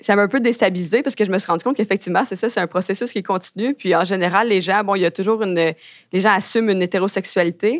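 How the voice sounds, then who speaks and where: Recorded very cleanly against a silent background, a woman at medium pitch speaks at a very fast pace in a dry, close sound with no echo. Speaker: graduate student. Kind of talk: interview testimony. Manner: hesitant, filler-heavy.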